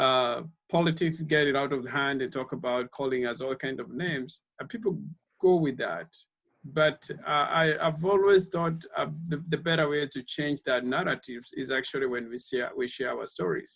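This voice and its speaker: This man speaks with a Kenyan accent at a fairly high pitch. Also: ordinary pitch variation, moderate pace. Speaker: speaker series organizer. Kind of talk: panel discussion. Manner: halting with many repetitions.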